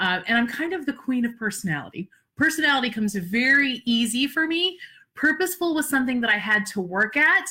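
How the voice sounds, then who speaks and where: Raised and projected, a woman's high, bright, sharp voice moves at a fairly quick pace in an animated tone with very wide pitch swings. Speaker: social media business coach. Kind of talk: live-streamed webinar talk.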